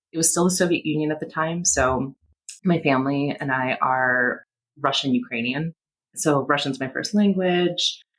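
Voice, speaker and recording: Her voice is very deep and low for a woman, with ordinary pitch variation. She speaks at a moderate pace. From Latvia, raised in US from age seven. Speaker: bar owner. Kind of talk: interview testimony.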